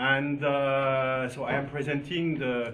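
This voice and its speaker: Someone with a French accent is heard with audible room echo and noticeable background noise. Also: man. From France. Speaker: school principal. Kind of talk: conference presentation. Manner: halting, many fillers.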